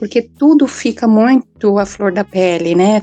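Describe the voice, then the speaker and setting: A woman speaks at a fairly slow pace in a fairly high pitch with a dark, mellow tone. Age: 40s. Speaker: psychologist. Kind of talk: casual panel discussion. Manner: halting, many fillers (né).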